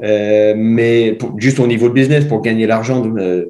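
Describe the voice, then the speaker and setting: A man's dark, mellow tone at medium pitch, fairly slow, with monotone, flat intonation. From Ireland. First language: English (speaking French). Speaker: mountain bike coach. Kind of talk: podcast interview. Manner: halting, searching for words.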